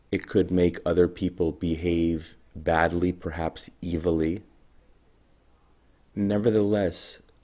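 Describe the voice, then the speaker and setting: A soft-spoken man's very deep, low voice with a dark, mellow tone, monotone and flat, at a very slow pace with long, frequent pauses. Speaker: video blogger. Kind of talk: monologue to camera.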